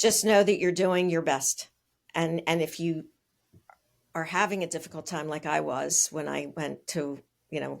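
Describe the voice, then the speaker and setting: The voice shows vocal fry and fairly even intonation at a moderate pace. Long, frequent pauses break it up, on a very clean recording with a silent background. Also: woman, fairly low pitch for a woman. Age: 60s. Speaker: speech-language pathologist. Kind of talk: interview.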